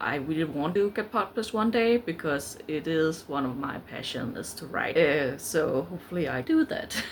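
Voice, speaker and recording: Speaking with a Danish accent at a moderate pace, this voice has lively intonation and hardly any pauses. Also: woman, very deep, low pitch for a woman. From Denmark. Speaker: book vlogger. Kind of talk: casual vlog talk. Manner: halting, many fillers.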